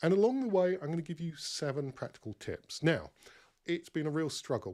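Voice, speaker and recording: A man talks at a fairly quick pace. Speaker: KPI consultant and webinar presenter. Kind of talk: webinar presentation. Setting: online webinar call. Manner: fast.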